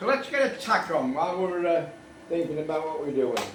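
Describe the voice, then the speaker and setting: Amid noticeable background noise and audible room echo, a man with a high pitch speaks at a moderate pace, his pitch swinging very widely. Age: 70s. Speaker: motorcycle restorer. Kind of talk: tutorial. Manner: casual, chatty.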